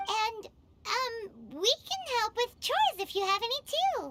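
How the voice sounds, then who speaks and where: A squeaky, put-on character voice with an extremely high pitch speaks at a fairly slow pace. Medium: video game. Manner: lively, curious.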